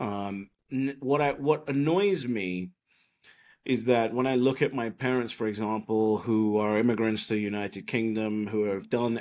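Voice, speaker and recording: Recorded very cleanly against a silent background, a man with an English accent speaks fairly slowly at medium pitch with lively intonation. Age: 30s. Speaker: bitcoin commentator and entrepreneur. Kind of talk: podcast interview.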